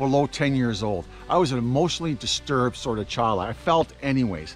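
Over faint background music, a man speaks at a fairly quick pace in a dry sound with no echo. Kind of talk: casual vlog chat. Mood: earnest, personal reflection. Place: forest. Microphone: phone near.

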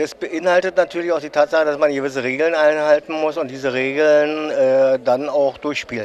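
Light background noise sits behind a man talking at a moderate pace. His intonation is fairly even, and he takes hardly any pauses. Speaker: interviewer at a hobby exhibition. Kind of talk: interview at an exhibition. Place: hall.

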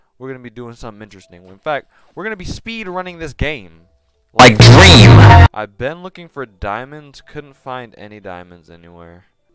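A man talks at a moderate pace, his pitch swinging very widely and his loudness varying a lot. The sound is dry with no echo, with noticeable background noise. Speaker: gaming youtuber. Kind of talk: casual gameplay commentary. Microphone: headset.

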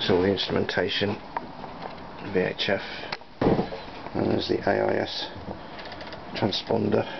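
Loud background noise runs under the clip. A man talks at a fairly slow pace. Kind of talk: walkthrough commentary. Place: boat. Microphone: phone near.

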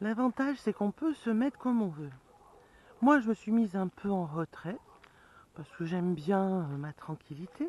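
A woman's somewhat breathy voice at a fairly slow pace, with very wide pitch swings, long, frequent pauses and a dry sound with no echo. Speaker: vlogger living in a camper van. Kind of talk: casual vlog chat. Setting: outdoors near camper van, filming herself. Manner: casual, chatty. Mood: cheerful, relaxed. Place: open country. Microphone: phone near.

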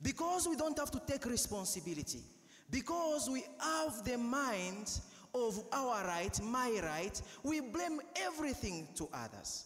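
A man with a Ugandan accent talks in an animated tone at an extremely high pitch, with very wide pitch swings. Noticeable background noise runs underneath. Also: fairly slow pace. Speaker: priest. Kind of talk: sermon. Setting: church. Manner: earnest, exhorting; animated, rhetorical.

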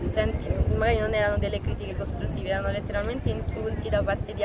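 A woman talks at a very fast pace over loud background noise. The sound is dry, with no echo. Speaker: dancer. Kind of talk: interview answer. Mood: cheerful, animated. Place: street.

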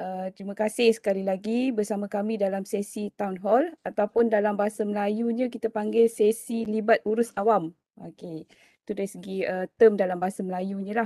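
The voice has a dark, mellow tone and a flat, monotone delivery at a moderate pace, recorded dry with no echo against a quiet background. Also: woman. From Malaysia. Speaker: university lecturer and researcher. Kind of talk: online town hall presentation. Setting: video call. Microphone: video call.

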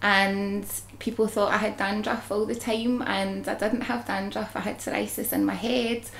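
A woman with a Glaswegian accent, at a fairly slow pace, with ordinary pitch variation. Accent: Glaswegian Scottish. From Scotland. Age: 30s. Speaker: psoriasis patient. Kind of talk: testimony. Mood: relaxed, candid, confident. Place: home room.

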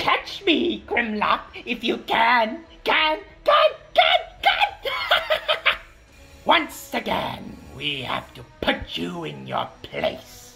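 A man talks in a put-on character voice pitched extremely high, moving at a very slow pace with long, frequent pauses over clear music in the background. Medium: voice reel. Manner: taunting.

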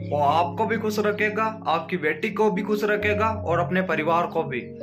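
A man's fairly slow speech over clear background music. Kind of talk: comedic skit monologue. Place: home room. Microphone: phone near.

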